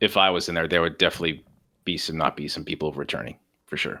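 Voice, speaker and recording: Loud and very fast, a man with a very deep, low pitch and a bright, sharp tone breaks his speech with long, frequent pauses. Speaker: podcast co-host. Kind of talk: casual chat. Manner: animated.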